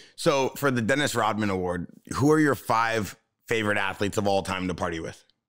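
A man's fairly low voice, animated in tone, at a fairly quick pace with ordinary pitch variation over a quiet background. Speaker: podcast host. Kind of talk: casual chat. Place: studio. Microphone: studio mic.

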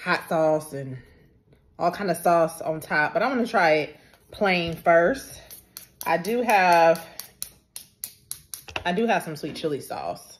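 A woman speaks at a fairly low pitch with ordinary pitch variation. She goes at a fairly slow pace, with long, frequent pauses. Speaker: food vlogger. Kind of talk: casual vlog chat. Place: home room. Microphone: phone near.

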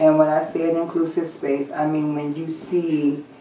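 A woman talks with a very deep, low pitch. Room echo is audible, along with light background noise. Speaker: interviewee. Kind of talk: interview answer. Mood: candid, slightly wry. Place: home room.

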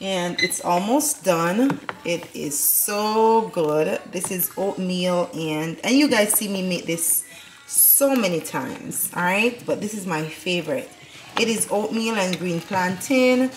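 Very slowly, a woman talks while music plays behind her. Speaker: family vlogger. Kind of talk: casual vlog chat. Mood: cheerful, relaxed. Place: kitchen. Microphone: phone near.

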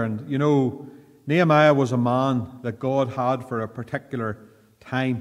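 A man with a Northern Irish accent and fairly even intonation, against a quiet background. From Northern Ireland. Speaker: pastor. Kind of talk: fervent prayer in church, then Bible study sermon. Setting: church. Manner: earnest, formal, pleading tone in prayer; measured, pausing often with repeated 'Lord'. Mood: calm, earnest. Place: church. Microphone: podium.

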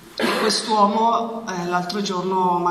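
Amid noticeable background noise, a woman speaks at a fairly low pitch with ordinary pitch variation. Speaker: charity president. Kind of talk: public speech. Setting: stage with audience. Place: hall. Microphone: handheld.

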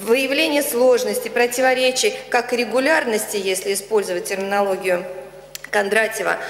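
In a room with audible echo, a woman with a fairly high pitch speaks at a moderate pace. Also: ordinary pitch variation. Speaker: professor, official opponent; professor. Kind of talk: formal academic review. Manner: formal. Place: hall.

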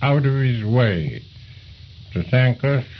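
Speaking very slowly, a man keeps his voice at a medium pitch and varies it in an ordinary way. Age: 80s+. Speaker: retired air force commander. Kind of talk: oral history interview answer. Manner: passionate.

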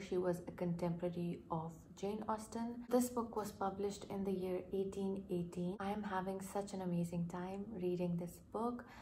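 A woman whispers quietly at a moderate pace, somewhat breathy, over light background noise. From Pakistan. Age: 20s. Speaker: doctor, book vlogger. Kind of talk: casual talk to camera. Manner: quiet, almost whispering. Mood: warm, enthusiastic. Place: home room. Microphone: phone near.

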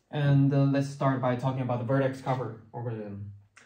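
A man's voice with fairly even intonation, audible room echo and a quiet background. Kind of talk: lecture. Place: classroom. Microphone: camera far.

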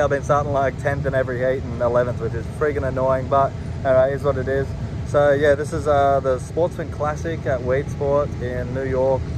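Through noticeable background noise, a man speaks at a fairly quick pace, the sound dry with no echo. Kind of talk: casual vlog chat. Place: street. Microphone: phone near.

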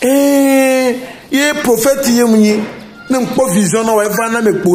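A man speaks at an extremely high pitch, slowly, with fairly even intonation. Strong room echo surrounds him, with faint music in the background.

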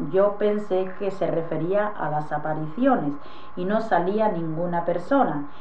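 Over light background noise, a woman speaks at a fairly slow pace with ordinary pitch variation. Room echo is audible. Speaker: witness. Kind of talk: interview answer. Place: home room. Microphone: old recording.

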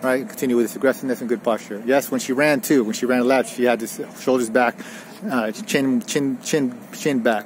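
Dry with no echo and with light background noise, a man's voice moves at a fairly quick pace with ordinary pitch variation. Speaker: tennis coach. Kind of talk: lesson summary. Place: open country.

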